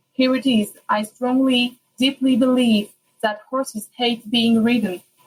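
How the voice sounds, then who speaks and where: In a French accent, a high-pitched woman speaks at a fairly slow pace. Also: dry, close sound with no echo. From France. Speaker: listener submitting a question. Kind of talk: recorded listener question.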